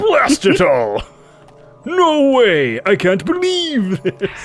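Faint music plays behind a gruff, put-on character voice pitched fairly high and delivered at a very slow pace. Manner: exasperated, dramatic.

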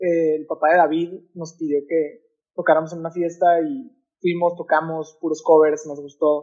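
Against a quiet background, a man with a fairly high pitch talks at a moderate pace, his intonation fairly even. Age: young. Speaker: musician; podcast guest. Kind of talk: casual interview. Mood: relaxed, casual. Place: home room.

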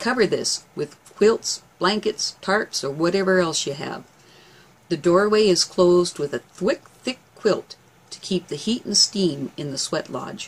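Her pace is fairly slow. The woman's pitch shows ordinary variation. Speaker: herbal remedy educator. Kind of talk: tutorial. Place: home room.

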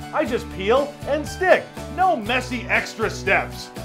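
A man at a very slow pace, with clear music in the background. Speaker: infomercial host. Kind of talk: TV infomercial product demo.

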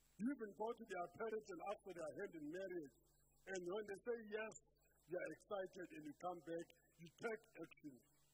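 A man speaks in a high voice at a moderate pace, with ordinary pitch variation. Noticeable background noise runs underneath. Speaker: preacher. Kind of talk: sermon. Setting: church. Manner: earnest, rhetorical preaching, pressing questions and commands to the congregation. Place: church. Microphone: handheld.

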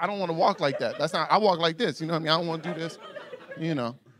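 A man's animated, very fast speech in an American accent, over noticeable background noise. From US South, Atlanta, Georgia. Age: 30s. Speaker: stand-up comedian. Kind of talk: raunchy stand-up comedy set before a live club crowd. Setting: comedy club stage with audience. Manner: loose, animated storytelling punctuated by his own laughter; exaggerated shrieks and mock voices when acting out women. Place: stage. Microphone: handheld.

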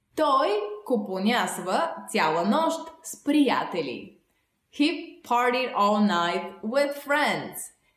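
A woman with a fairly high pitch speaks at a very slow pace, her voice making very wide pitch swings. The room echo is audible, but the background is quiet. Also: big swings in loudness. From Bulgaria. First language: Bulgarian. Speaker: language teacher. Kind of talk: tutorial. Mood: friendly, smiling. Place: home room.

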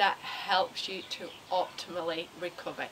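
Noticeable background noise accompanies the woman's speech. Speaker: fitness instructor. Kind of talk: tutorial. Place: garden.

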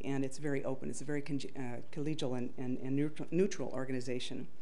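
The speaker is a woman, and she moves along at a fairly quick pace. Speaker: conference presenter. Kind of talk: conference talk. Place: hall.

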